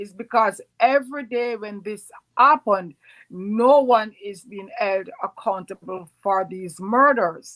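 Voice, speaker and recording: A woman speaks with lively intonation in a dry, close sound with no echo. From Jamaica. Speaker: home care worker and organizer. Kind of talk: interview answer. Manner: impassioned.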